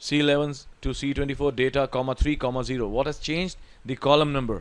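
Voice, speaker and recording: Talking at a very fast pace, a man with an Indian accent uses a fairly high pitch and fairly even intonation. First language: Hindi. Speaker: Excel tutor. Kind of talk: tutorial.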